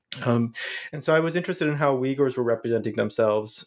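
With an American accent, this man lets his pitch vary in an ordinary way. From US Midwest, Ohio. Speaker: professor of international studies. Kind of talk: interview about his book. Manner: hesitant, many filler words.

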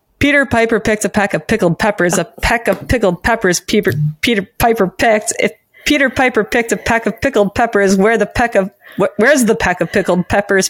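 A woman talks at a very fast pace in a fairly high pitch, with ordinary pitch variation and very even loudness, in a dry, close recording with no echo. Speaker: podcast co-host. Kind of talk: casual chat.

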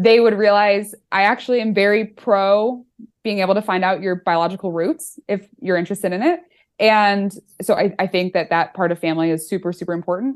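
A woman talks with an American accent in an ordinary speaking voice at medium pitch. Her pace is fairly quick and her pitch varies an ordinary amount. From US Midwest, Chicago northern suburbs. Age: 20s. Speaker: author and accountant. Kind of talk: casual interview chat.

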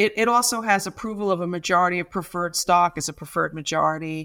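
Recorded very cleanly against a silent background, a woman speaks at a fairly quick pace with a medium pitch and ordinary pitch variation. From US, Brooklyn New York. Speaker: startup lawyer and singer. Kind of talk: interview.

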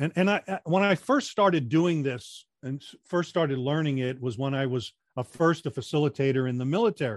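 A man with an ordinary speaking voice and a fairly high pitch uses lively intonation at a moderate pace, recorded in a dry, close sound with no echo. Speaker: retired military, radio and theater background, speaking coach. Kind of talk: casual interview.

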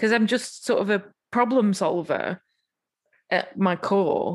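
The woman's pitch is medium. Her intonation stays fairly even. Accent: English. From England. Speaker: musician. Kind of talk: casual chat.

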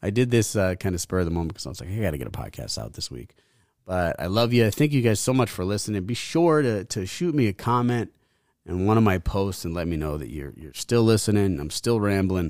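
On a very clean recording with a silent background, a man talks at a fairly low pitch and a fairly quick pace. His intonation is lively, and his loudness swings widely. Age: 30s. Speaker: podcast host. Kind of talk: casual monologue. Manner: halting, repeats words.

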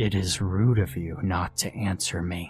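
A man puts on a character voice that is guttural, gravelly and very deep, delivered at a moderate pace. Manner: stern, scolding.

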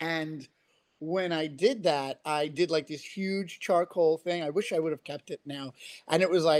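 A man with a New York accent speaks at a fairly high pitch, his intonation fairly even and the sound dry and close with no echo. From Queens, New York. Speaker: comic book writer. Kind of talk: casual podcast interview.

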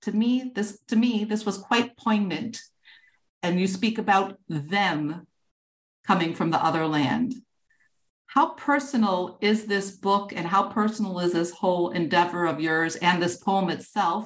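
A woman with an American accent speaks at a fairly slow pace in an unremarkable speaking voice, her medium pitch showing ordinary variation. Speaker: podcast host. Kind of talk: interview.

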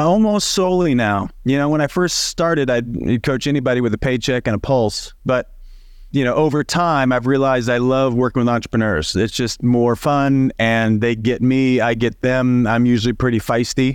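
A plain, everyday voice at a moderate pace, with ordinary pitch variation, very even loudness and hardly any pauses. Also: man, medium pitch for a man. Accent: American. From Southern Illinois. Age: 40s. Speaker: leadership coach. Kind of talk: casual interview.

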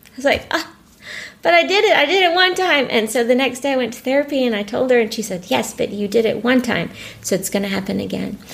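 Very fast, high-pitched female speech with very wide pitch swings, over noticeable background noise. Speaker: bereaved mother and teacher. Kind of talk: emotional interview testimony.

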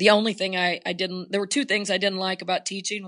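Speaking very fast in a flat monotone, a woman with a bright, sharp tone and medium pitch sounds dry and close, with no echo. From Oklahoma, small town. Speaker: basketball coach. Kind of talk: casual interview.

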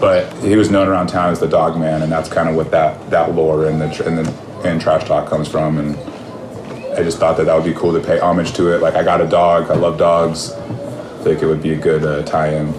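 A man with an American accent at a fairly quick pace, amid audible room echo and noticeable background noise. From California, Bakersfield. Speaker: hardcore punk musician. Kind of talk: casual interview chat.

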